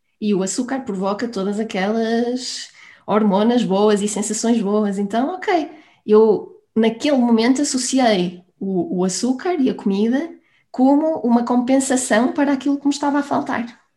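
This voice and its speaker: With lively intonation and a fairly high pitch, a woman talks in an ordinary speaking voice at a fairly slow pace. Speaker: business coach. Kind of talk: interview.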